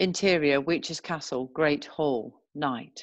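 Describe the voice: A woman's low-pitched voice at a fairly slow pace, with ordinary pitch variation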